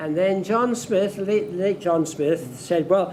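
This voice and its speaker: The man's voice sits high in pitch, and noticeable background noise is present throughout. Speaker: former club chairman. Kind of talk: anniversary dinner reminiscence. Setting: dinner event with audience.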